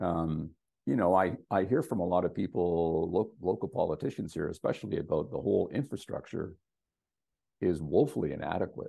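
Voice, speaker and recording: This man's pitch is very deep and low. He speaks at a fairly quick pace with lively intonation. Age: 60s. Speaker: real estate agent.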